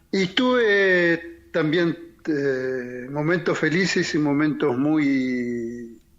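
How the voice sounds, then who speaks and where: Amid audible room echo, a man with a fairly high pitch speaks at a very slow pace. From Argentina (Chilecito, La Rioja; born in Paraguay). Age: 70s. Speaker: torture survivor, former political prisoner. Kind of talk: testimony. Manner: halting.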